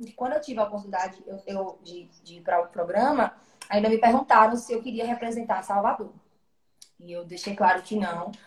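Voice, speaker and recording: A woman with a normal speaking voice talks at a fairly quick pace at a medium pitch, with ordinary pitch variation and big swings in loudness. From Brazil, Alagoas (Maceió). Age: 20s. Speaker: singer. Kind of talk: interview on a live stream.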